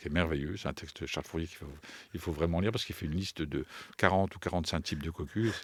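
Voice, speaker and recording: This man's voice is very deep and low. Its pitch rises and falls in an ordinary way. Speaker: writer and poetry performer. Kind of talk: interview answer. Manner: hesitant, searching for words.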